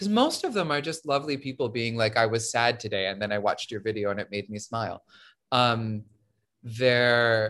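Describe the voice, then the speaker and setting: With an American accent and an animated tone, a man speaks at a moderate pace and medium pitch for a man against a quiet background. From Syracuse, New York. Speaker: actor and social media creator. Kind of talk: casual interview chat. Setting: remote recording, open window. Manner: expressive, projecting.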